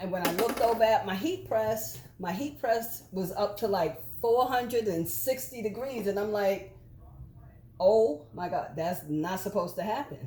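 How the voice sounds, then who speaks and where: A woman's voice has a dark, mellow tone with vocal fry. She speaks at a medium pitch with lively intonation. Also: moderate pace. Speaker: embroidery and sublimation crafter. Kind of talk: casual crafting tutorial chat. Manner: loud.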